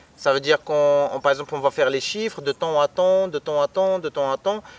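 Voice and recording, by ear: A man talks at a fairly quick pace and fairly high pitch with a clear, smooth tone. The sound is dry and close with no echo, and his intonation is fairly even.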